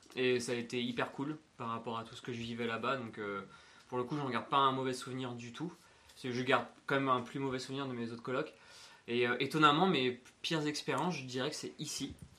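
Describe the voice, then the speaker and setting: Talking at a fairly quick pace, a man with a medium pitch and fairly even intonation shows big swings in loudness and long, frequent pauses. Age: 20s. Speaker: podcast co-host, flatmate, events worker. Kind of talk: casual chat.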